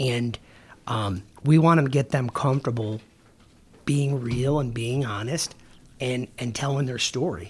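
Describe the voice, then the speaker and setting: Somewhat breathy and at medium pitch, a man speaks at a fairly slow pace with ordinary pitch variation and long, frequent pauses. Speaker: police sergeant. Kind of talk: casual interview chat. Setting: podcast studio.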